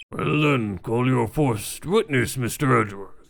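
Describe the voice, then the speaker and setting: A put-on character voice sounds raspy with lively intonation. The pace is moderate. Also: man, medium pitch for a man. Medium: game stream. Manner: formal, hesitant.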